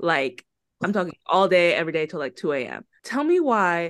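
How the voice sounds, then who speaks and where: Against a quiet background, a woman speaks with a plain, everyday voice. Her pitch is fairly low and her pace moderate. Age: 20s. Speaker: law student podcast co-host. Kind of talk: casual chat.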